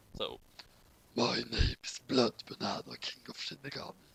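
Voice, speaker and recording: Using a raspy, put-on character voice, a man speaks at a moderate pace. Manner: silly, pathetic.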